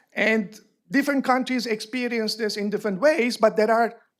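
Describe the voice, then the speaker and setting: In a Turkish accent, a man talks with a high pitch and ordinary pitch variation. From Turkey. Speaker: panel speaker at academic forum. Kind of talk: panel discussion.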